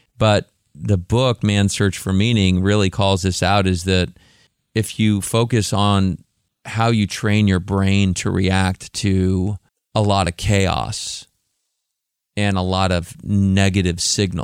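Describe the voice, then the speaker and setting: Very slow speech from a man with a fairly low pitch and fairly even intonation, in a very clean recording with a silent background. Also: very even loudness. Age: 50s. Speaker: tech company CEO. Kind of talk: interview. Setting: studio.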